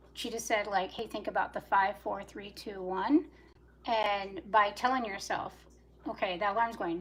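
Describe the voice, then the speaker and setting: At a moderate pace, a woman talks in a medium pitch with ordinary pitch variation. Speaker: livestreamer. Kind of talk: casual chat. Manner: animated.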